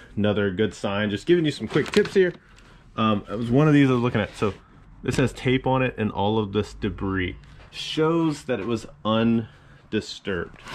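With lively intonation and a moderate pace, a man speaks as light noise sits in the background. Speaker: reseller opening a storage unit. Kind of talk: casual vlog chat. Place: garage. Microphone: phone near.

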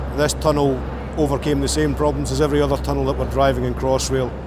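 Music plays behind a man who speaks at a fairly quick pace. His sound is dry, with no echo. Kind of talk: interview answer. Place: tunnel cave.

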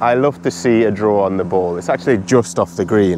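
A man's very deep, low voice with ordinary pitch variation at a fairly quick pace, dry with no echo, over light background noise. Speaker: golf vlogger. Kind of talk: casual vlog chat. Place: open country. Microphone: lapel.

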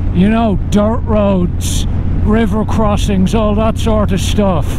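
Loud background noise behind a male voice, dry sound with no echo. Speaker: motorcycle vlogger. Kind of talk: casual vlog chat. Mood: wry, humorous. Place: motorbike. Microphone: helmet.

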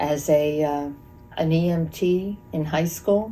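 Faint music plays behind a woman whose very deep, low voice carries an American accent. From Monroe County, Pennsylvania, USA; Pennsylvania. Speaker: volunteer EMT; interviewee. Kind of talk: interview answer. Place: home room.

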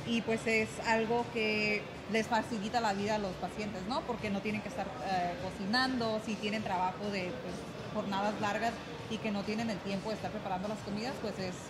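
Loud background noise sits behind this speaker. She is a woman talking at a moderate pace. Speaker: guest. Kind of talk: interview answer. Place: gym. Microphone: studio mic.

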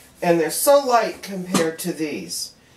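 A woman talks at a fairly slow pace. Light background noise and audible room echo can be heard. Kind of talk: casual demonstration chat. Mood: pleased, chatty. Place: kitchen. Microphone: camera far.

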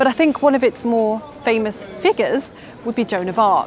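A woman speaks over light background noise, her voice dry and free of echo. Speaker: presenter. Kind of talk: presenter piece to camera. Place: street. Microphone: lapel.

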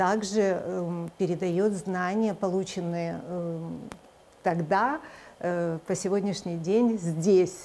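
In a dark, mellow tone, a woman talks at a very slow pace with fairly even intonation over light background noise. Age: 50s. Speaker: charity organization chair. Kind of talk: TV interview. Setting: studio. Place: studio. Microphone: lapel.

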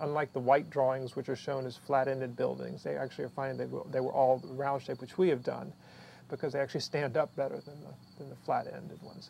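A man talks at a very fast pace, his loudness swinging widely over light background noise. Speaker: film crew member. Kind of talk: behind-the-scenes interview.

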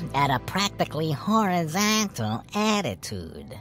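A put-on character voice at a middle pitch has a theatrical, excited tone. Clear music plays in the background.

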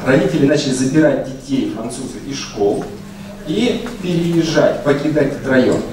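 A man speaks at a fairly high pitch with lively intonation and a moderate pace. Noticeable background noise and audible room echo fill the recording. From Russia. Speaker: university researcher, speaker. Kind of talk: conference talk with slides. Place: hall.

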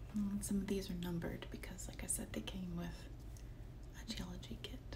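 Over noticeable background noise, a woman with a very deep, low pitch talks at a moderate pace with fairly even intonation. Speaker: ASMR artist. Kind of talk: ASMR show-and-tell talk to viewer. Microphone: phone near.

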